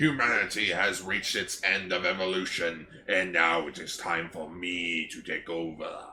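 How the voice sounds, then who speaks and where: A man puts on a character voice. His pitch is very deep and low, with light background noise behind him. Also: moderate pace. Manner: pompous, grandiose.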